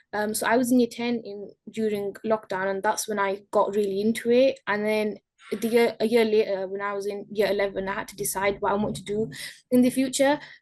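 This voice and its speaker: Fairly quick delivery in a Yorkshire accent, with fairly even intonation. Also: woman, fairly high pitch for a woman. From northern England, Bradford. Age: young. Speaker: horticulture apprentice. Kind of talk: interview. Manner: hesitant.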